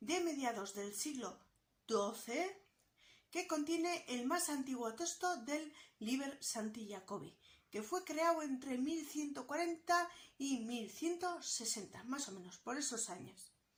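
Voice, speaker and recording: This woman speaks at a very slow pace. Her high voice makes very wide pitch swings. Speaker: book YouTuber. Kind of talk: casual educational vlog.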